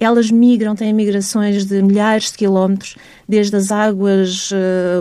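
Slow-paced and fairly measured, a woman speaks at medium pitch with monotone, flat intonation. Her tone is dark and mellow. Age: 40s. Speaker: marine biologist and researcher. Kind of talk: radio interview.

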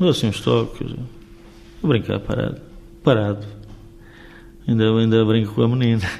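Speaking with long, frequent pauses, a man with a fairly low pitch uses ordinary pitch variation amid audible room echo. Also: moderate pace. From Portugal, Vila Real (Trás-os-Montes), raised in Rio de Janeiro until 15. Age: 60s. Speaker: former footballer, youth coach. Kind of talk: radio interview.

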